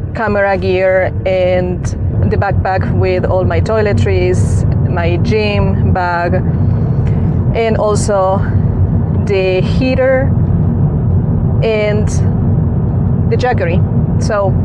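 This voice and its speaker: The speaker talks at a very slow pace with long, frequent pauses and ordinary pitch variation, in a dry sound with no echo over loud background noise. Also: woman. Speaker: car-living vlogger. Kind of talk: casual vlog chat. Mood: calm, reflective. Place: car. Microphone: lapel.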